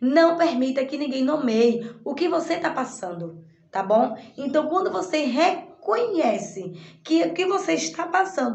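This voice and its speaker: A woman speaks at a very slow pace with a high pitch and very wide pitch swings. Audible room echo is present. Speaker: online course teacher. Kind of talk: recorded lesson summary. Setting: in her shop. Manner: halting.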